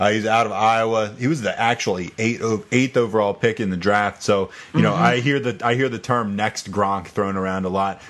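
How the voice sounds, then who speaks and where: A man with an ordinary speaking voice and an American accent speaks at a fairly low pitch with hardly any pauses. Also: fairly even intonation, fairly quick pace. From US South, eastern shore of Virginia. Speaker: fantasy football podcast host. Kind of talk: casual chat.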